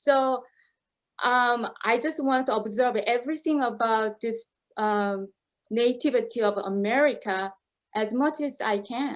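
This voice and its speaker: Speaking with a Korean accent, a woman talks at a fairly slow pace and high pitch with ordinary pitch variation over a quiet background. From South Korea. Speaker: opera singer. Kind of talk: interview. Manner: halting.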